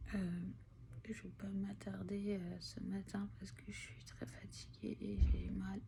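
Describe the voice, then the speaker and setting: A woman speaks at a very slow pace with a very deep, low pitch and very wide pitch swings. Her loudness swings widely, with audible room echo. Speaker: vlogger with long covid. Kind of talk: personal video diary. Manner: halting, many hesitations.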